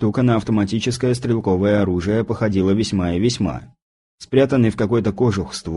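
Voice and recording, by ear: The background is quiet. Text is read aloud in a natural voice, its pitch varying in an ordinary way.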